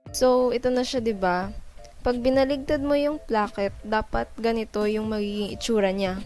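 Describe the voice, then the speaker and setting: Music plays in the background. A woman with a fairly high pitch speaks at a fairly quick pace. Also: ordinary pitch variation. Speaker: dressmaking student. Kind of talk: sewing tutorial narration.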